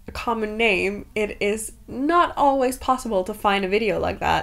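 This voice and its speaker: Vocal fry and lively intonation in a Danish accent. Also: woman. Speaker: book vlogger. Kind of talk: casual vlog chat while baking.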